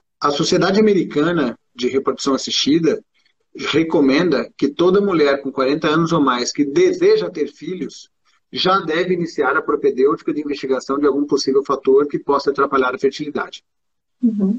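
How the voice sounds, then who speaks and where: This man's voice sits at a fairly high pitch, with ordinary pitch variation and a moderate pace. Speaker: gynecologist. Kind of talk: interview. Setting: live video stream.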